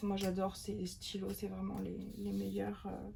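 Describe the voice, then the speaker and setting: Noticeable background noise is present as a woman speaks. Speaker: journaling video creator. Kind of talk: craft tutorial. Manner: whispering; casual, hesitant.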